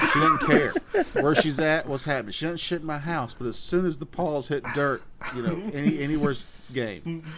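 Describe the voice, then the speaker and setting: A man's fairly high voice comes through at a fairly quick pace, with noticeable background noise behind it. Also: ordinary pitch variation. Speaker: podcast co-host. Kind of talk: casual chat. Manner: bangs the table when emphasizing; mouth breather.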